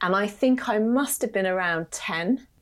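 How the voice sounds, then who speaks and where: Speaking with a British accent, a woman of medium pitch uses lively intonation at a moderate pace. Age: 40s. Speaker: creative agency founder and entrepreneur. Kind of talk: casual interview chat.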